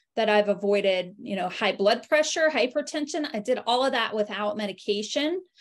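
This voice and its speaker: Against a quiet background, a woman with a fairly high voice speaks with ordinary pitch variation. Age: 40s. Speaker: health coach and network marketing affiliate. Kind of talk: online webinar presentation. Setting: video call. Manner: hesitant with fillers. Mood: warm, personal testimony. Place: home room. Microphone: video call.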